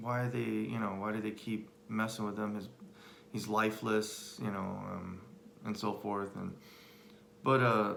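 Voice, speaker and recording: Amid audible room echo, a man speaks fairly slowly at a fairly low pitch in a flat monotone, with long, frequent pauses. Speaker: husband sharing life story. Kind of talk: personal testimony. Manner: halting, many fillers.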